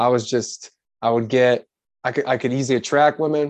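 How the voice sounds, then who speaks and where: Against a quiet background, a man uses a normal speaking voice at a medium pitch and moderate pace, with fairly even intonation. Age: 20s. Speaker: life coach. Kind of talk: casual chat.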